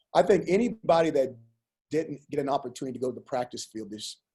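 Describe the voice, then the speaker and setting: A dark, mellow tone comes with a somewhat breathy edge and pitch that varies in an ordinary way. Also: man. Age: 50s. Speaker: college football head coach. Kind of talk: press conference.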